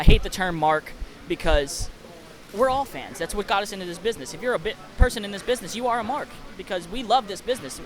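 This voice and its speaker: Over noticeable background noise, a man with a Kentucky accent talks at a very fast pace in a high pitch, with lively intonation and big swings in loudness. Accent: picked-up Kentucky accent coming out. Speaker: podcast host and wrestler. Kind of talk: casual interview.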